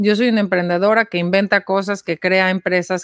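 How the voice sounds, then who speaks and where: A woman speaks in a monotone with flat intonation. The recording is very clean, with a silent background. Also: dry, close sound with no echo. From Mexico City. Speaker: social entrepreneur, nonprofit founder. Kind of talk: interview.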